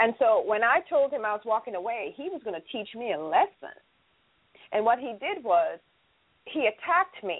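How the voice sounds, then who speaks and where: Her pitch is fairly high and swings very widely. The woman keeps a moderate pace. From Jamaica. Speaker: domestic violence survivor and nonprofit founder. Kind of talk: testimony.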